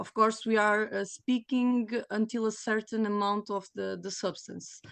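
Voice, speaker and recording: Over a quiet background, a woman with a Portuguese accent speaks at a fairly slow pace and a fairly high pitch, her intonation monotone and flat. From Portugal. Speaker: panelist. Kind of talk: panel discussion. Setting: video call. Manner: halting.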